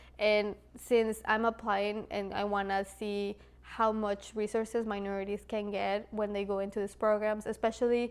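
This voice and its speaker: The speaker has a Spanish accent and a monotone, flat intonation. The pace is moderate. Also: woman. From Latin America, Spanish-speaking; moved to US at 12. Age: 20s. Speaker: mechanical engineer, video creator. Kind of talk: casual vlog talk to camera.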